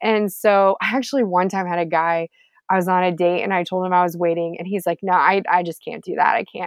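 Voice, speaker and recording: A woman with an American accent talks in a plain, everyday voice, at medium pitch, a fairly quick pace and with fairly even intonation. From Texas, Houston. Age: 30s. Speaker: former TV reporter. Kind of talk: casual interview chat.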